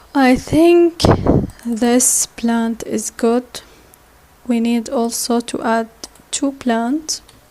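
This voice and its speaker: Over noticeable background noise, a woman with a high pitch and a non-native accent speaks at a very slow pace with long, frequent pauses. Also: ordinary pitch variation. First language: not English. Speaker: software tutorial instructor. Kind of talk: tutorial. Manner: halting.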